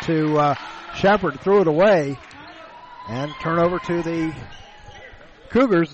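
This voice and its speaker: Moderate pace with long, frequent pauses and ordinary pitch variation, over noticeable background noise. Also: man. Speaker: play-by-play announcer. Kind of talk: live sports commentary. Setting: gym courtside broadcast.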